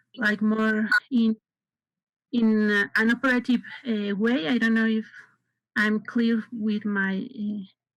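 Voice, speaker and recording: Speaking very slowly with long, frequent pauses, a woman with a Spanish accent uses a fairly high, somewhat breathy voice and a monotone, flat intonation. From Mexico. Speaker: forum participant asking a question. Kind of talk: audience question. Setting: video call. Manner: halting.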